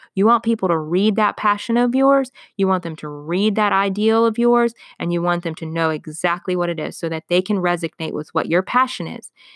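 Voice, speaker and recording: On a very clean recording with a silent background, a woman with a medium pitch speaks at a fairly quick pace in an animated tone, with ordinary pitch variation. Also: dry, close sound with no echo. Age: 30s. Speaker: business coach podcast host. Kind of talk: casual solo podcast monologue.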